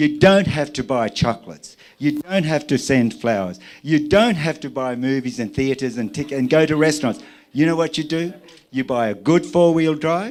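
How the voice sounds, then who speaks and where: With an Australian accent, a man speaks at a moderate pace, his fairly high pitch carried by lively intonation. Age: 60s. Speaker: airline pilot. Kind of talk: wedding speech. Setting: wedding reception with audience. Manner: animated.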